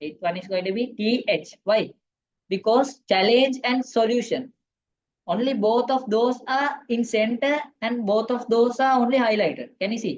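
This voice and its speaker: Ordinary pitch variation in a woman's fairly high-pitched voice. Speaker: ICT teacher. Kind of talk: online class lecture. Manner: fast.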